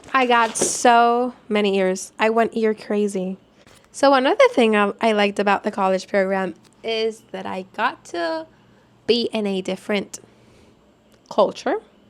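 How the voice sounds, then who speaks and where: With a Spanish accent, a woman talks at a fairly slow pace in an animated tone, her pitch fairly high and its variation ordinary. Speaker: vlogger, former theme park college program worker. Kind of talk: casual vlog talk.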